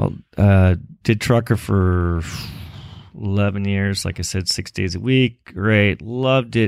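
Fairly slow pace and ordinary pitch variation in a very clean recording with a silent background. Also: man, fairly low pitch for a man. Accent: Californian. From Los Angeles, Southern California. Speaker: eyewear company founder. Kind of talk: interview.

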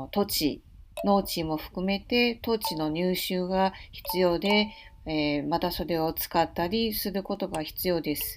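Music in the background beneath a woman's fairly slow delivery. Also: medium pitch for a woman, ordinary pitch variation. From Taiwan, Taipei. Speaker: podcast host. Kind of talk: unscripted monologue. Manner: halting, many fillers.

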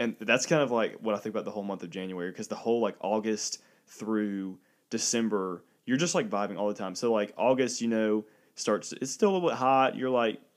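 On a very clean recording with a silent background, a man with a normal speaking voice talks at a fairly quick pace, his pitch medium with ordinary pitch variation. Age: 20s. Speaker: podcast co-host. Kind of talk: casual chat.

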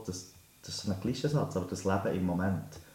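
The voice has a dark, mellow tone and is somewhat breathy, moving at a moderate pace with ordinary pitch variation and audible room echo. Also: man. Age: 30s. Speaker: teacher and life coach. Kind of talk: interview.

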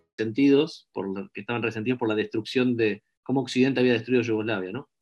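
Against a quiet background, a man with a plain, everyday voice, medium pitch, and ordinary pitch variation. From Argentina. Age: 30s. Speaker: social scientist. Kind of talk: interview.

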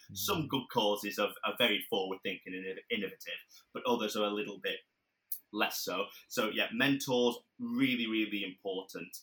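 A Lancashire accent with long, frequent pauses. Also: man, moderate pace. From northern England, Blackburn, Lancashire. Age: 20s. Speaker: mental health charity founder and public speaker. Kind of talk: casual interview.

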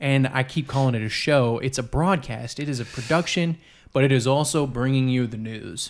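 A man with a plain, everyday voice speaks at a medium pitch and a moderate pace. The recording is very clean with a silent background, and his pitch variation is ordinary. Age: 30s. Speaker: podcast host. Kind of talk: casual chat. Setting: kitchen table.

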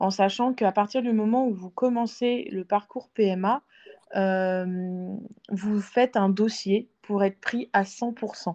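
A woman speaks very slowly at a medium pitch with fairly even intonation and a dark, mellow tone. The sound is dry and close, with no echo. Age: 30s. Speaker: IVF patient sharing her story. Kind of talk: testimony. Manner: hesitant, many fillers.

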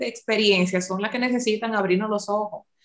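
Using a plain, everyday voice, a woman speaks at a fairly high pitch. Her intonation is lively. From Dominican Republic. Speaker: podcast co-host, life coach. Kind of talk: casual interview chat.

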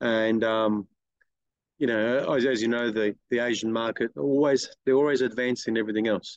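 With an Australian accent, a man speaks in a dry, close sound with no echo. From Sydney, Australia. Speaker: detailing business owner. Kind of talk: casual chat.

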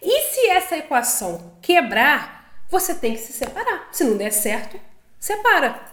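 A woman with a high pitch talks at a fairly slow pace, with very wide pitch swings and big swings in loudness. Audible room echo surrounds her. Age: 30s. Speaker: podcast co-host, married couple. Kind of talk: casual chat.

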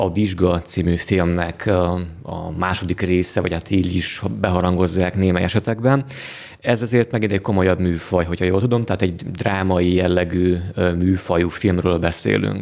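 Fairly slow and fairly even in intonation, a man speaks with a very deep, low pitch. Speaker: podcast host. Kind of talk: casual chat.

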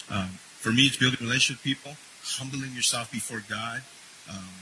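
A man at a medium pitch with ordinary pitch variation, over noticeable background noise. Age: 50s. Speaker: minister and chaplain. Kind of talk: sermon.

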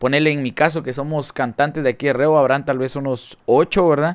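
An animated voice at a fairly quick pace, on a very clean recording with a silent background. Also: man. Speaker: podcast host and musician. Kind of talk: casual interview.

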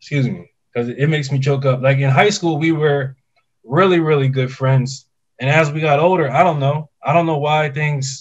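A man's somewhat breathy, fairly high voice, with fairly even intonation and a moderate pace. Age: 30s. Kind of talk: casual chat. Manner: halting, repeating words.

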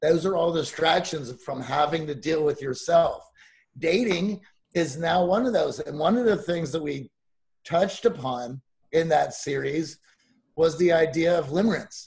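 A man at a high pitch, a moderate pace and ordinary pitch variation. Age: 40s. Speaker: dating coach podcaster. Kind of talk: casual interview chat.

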